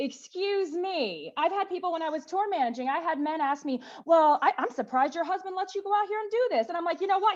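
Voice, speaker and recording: In an American accent, a woman talks at a very fast pace with hardly any pauses, her pitch extremely high. Noticeable background noise is present. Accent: Southern accent, ironed out. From US South. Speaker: activist. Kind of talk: panel discussion. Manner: animated.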